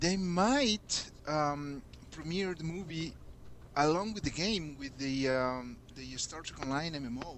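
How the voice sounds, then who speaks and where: A man speaks at a fairly high pitch and a fairly slow pace. Audible room echo surrounds his voice. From Mexico City, Mexico. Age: 30s. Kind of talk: casual chat. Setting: Skype conference call.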